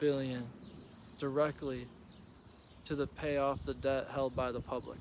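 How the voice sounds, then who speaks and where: Here a man with an American accent and a fairly high pitch talks at a moderate pace in a flat monotone. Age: 20s. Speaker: Republican precinct committeeperson. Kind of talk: political announcement read.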